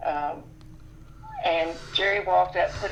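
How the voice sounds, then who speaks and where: Delivered at a moderate pace, the speech has noticeable background noise behind it. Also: woman. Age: 70s. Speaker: lay preacher and wife of 50 years. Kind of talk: casual interview. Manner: halting with fillers.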